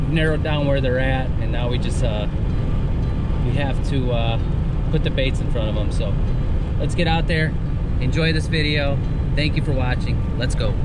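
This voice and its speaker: Loud background noise surrounds a man speaking at a moderate pace. He leaves long, frequent pauses, and the sound is dry with no echo. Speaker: fishing vlogger. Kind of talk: casual vlog chat. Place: car. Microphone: phone near.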